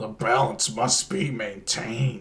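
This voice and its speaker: A man puts on a raspy character voice, moving at a fairly slow pace. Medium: read story. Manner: cryptic, portentous.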